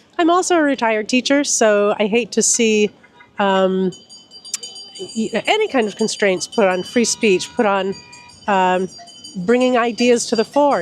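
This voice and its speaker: Through noticeable background noise, a woman with an American accent speaks at a fairly slow pace with long, frequent pauses, a fairly high pitch and lively intonation. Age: 60s. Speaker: retired teacher, protester. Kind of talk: street interview. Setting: outdoors at a protest.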